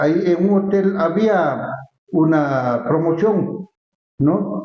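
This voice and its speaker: Speaking at a very slow pace, a man uses a high pitch with lively intonation. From Ecuador, Latacunga (Andean highlands). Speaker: cultural figure, former festival honoree. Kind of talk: interview conversation. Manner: halting, frequent repetitions.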